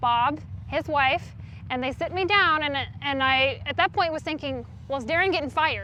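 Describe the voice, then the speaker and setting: A woman's high voice is raised and projected, with ordinary pitch variation. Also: moderate pace. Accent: American. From North Carolina. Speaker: monster truck driver and emergency room nurse. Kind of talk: interview answer.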